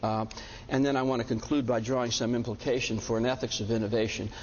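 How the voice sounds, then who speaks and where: Audible room echo surrounds a man speaking at a very fast pace in a medium pitch with fairly even intonation. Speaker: bioethics professor. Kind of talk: lecture. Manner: halting with many fillers.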